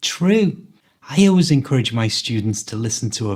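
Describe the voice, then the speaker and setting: A somewhat breathy man with a Liverpool accent talks at a moderate pace, his intonation lively. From Liverpool, England. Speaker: English language coach. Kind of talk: podcast conversation.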